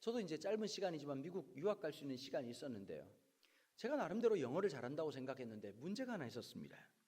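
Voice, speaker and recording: A man in a Busan accent, fairly high-pitched with a dark, mellow tone, very fast, with very wide pitch swings. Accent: Gyeongsang regional accent from Busan. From Busan, Korea.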